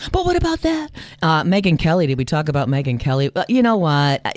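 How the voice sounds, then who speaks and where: A woman talks at a fairly quick pace in an American accent. Noticeable background noise is present. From US Midwest. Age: 60s. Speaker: journalist and podcast co-host. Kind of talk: casual news chat podcast. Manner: animated.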